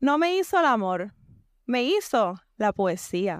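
A woman speaks at a very slow pace in a high pitch. The recording is very clean and dry, close with no echo and a silent background. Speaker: poet. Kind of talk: poetry reading.

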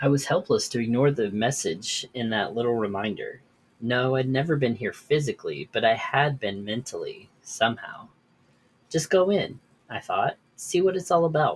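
A man talks at a moderate pace with lively intonation around a medium pitch. His voice sounds somewhat breathy. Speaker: podcast host. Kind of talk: horror story narration, read aloud from a written tale.

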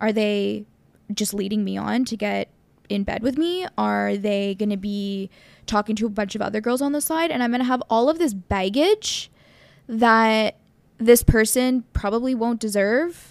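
Her pace is moderate, and a woman has an ordinary speaking voice, fairly high in pitch with ordinary variation. The recording is very clean, with a silent background. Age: 30s. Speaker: podcast host. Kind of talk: casual chat.

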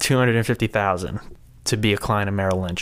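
A man's fairly low voice with fairly even intonation, an ordinary speaking voice in a very clean recording with a silent background. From US Northeast, Rhode Island. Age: 20s. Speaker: financial services associate. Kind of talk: casual interview.

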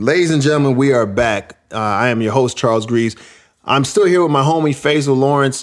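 With an American accent, a man in a plain, everyday voice speaks at a fairly quick pace and medium pitch, with ordinary pitch variation and very even loudness. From New York. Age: 40s. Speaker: podcast host. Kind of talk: casual chat.

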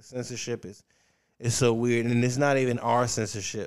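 Heard on a very clean recording with a silent background, a normal speaking voice moves at a fairly quick pace with ordinary pitch variation. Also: man. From US South, Richmond, Virginia. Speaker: stand-up comedian. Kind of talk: casual chat.

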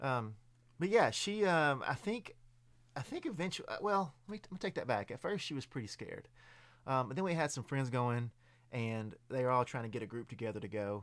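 Speaking at a fairly quick pace in a Southern US accent, a man at a medium pitch makes very wide pitch swings. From Middle Tennessee, US South. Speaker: haunted attraction performer. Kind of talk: casual chat. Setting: studio. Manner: halting.

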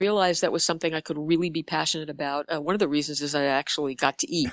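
With an American accent, a woman speaks at a fairly low pitch in monotone, flat intonation. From Bronx, New York. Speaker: advertising executive and author. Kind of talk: interview conversation.

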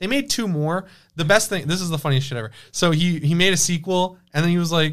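Talking at a very fast pace, a man uses a high pitch. The recording is very clean, with a silent background. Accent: American. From Michigan, Detroit area. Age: 20s. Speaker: horror film YouTuber. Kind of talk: casual chat; storytelling.

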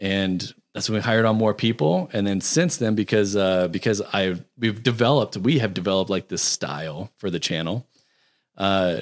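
In a plain, everyday voice, someone speaks at a moderate pace with ordinary pitch variation on a very clean recording with a silent background. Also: man. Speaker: video editor. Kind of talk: casual chat. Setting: studio.

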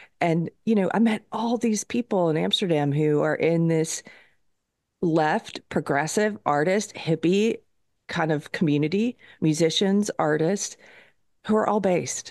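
A woman's fairly low-pitched, plain, everyday voice at a fairly slow pace, with ordinary pitch variation, very even loudness, and a dry, close sound with no echo. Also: quiet background. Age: 40s. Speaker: podcast host and guest. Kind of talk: casual chat.

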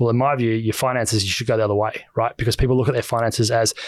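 A man with an Australian accent at a very fast pace, monotone and flat, on a very clean recording with a silent background and a dry, close sound with no echo. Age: 30s. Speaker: author and finance commentator. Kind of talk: casual chat.

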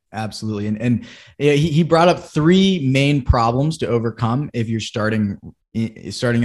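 Against a quiet background, a man with an American accent has a plain, everyday voice. His intonation is lively. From Massachusetts (Boston area). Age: 20s. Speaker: real estate investor and chief of staff. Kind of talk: casual chat.

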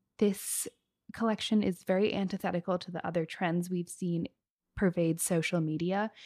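A woman speaks in a normal speaking voice at medium pitch and a moderate pace, with a dry, close sound and no echo. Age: 20s. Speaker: fashion podcast co-host. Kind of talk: casual chat.

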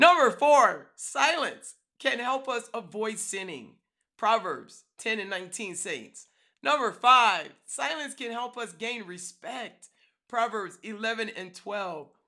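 Her fairly high, bright, sharp voice moves at a very slow pace, with lively intonation and big swings in loudness, on a very clean recording with a silent background. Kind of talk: devotional talk.

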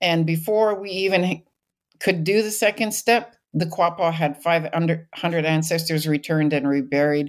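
A woman with a Canadian accent, an ordinary speaking voice, fairly low pitch, ordinary pitch variation and a fairly slow pace, on a very clean recording with a silent background. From British Columbia, Canada. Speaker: archaeologist and sociology professor. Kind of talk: interview.

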